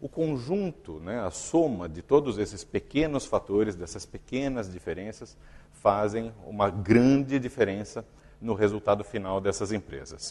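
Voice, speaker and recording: A man talks at a fairly slow pace in a fairly low pitch. His intonation is lively, and his loudness swings a lot. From Brazil. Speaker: company executive giving a talk. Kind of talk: conference talk. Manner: halting, with fillers and repetitions.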